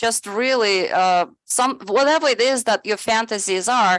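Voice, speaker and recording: A woman speaks at a fairly slow pace against a quiet background, the sound dry and close with no echo. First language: not English (English is her third language). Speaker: presenter on AI in education. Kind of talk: webinar presentation. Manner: halting, many fillers.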